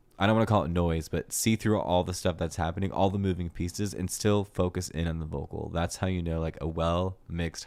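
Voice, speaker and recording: Mumbling with fairly even intonation, a man speaks in a very deep, low pitch in a very clean recording with a silent background. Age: 30s. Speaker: music reviewer streamer. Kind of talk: livestream music review. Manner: casual, filler-heavy.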